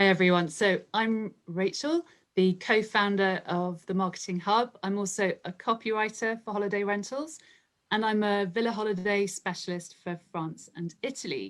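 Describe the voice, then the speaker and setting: A woman speaks in a London accent at medium pitch. Her pace is moderate, with ordinary pitch variation. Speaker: marketing group co-founder and copywriter. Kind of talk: interview.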